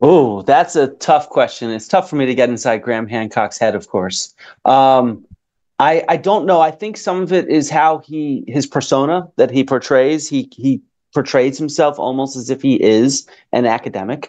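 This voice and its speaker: His speech comes at a moderate pace. Behind the man, the background stays quiet. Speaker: remote guest. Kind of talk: interview answer. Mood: thoughtful, measured. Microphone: video call.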